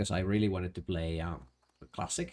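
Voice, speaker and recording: Speaking with a strong Finnish accent, a man has a dark, mellow tone and ordinary pitch variation. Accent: thick Finnish. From Finland. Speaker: streamer. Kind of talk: casual gaming livestream chat. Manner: halting, many restarts.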